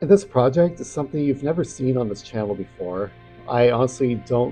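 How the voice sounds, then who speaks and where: With music in the background, a man speaks at a medium pitch. His intonation is lively and his pace fairly quick. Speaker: storyteller. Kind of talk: casual talk to camera. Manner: soft-spoken.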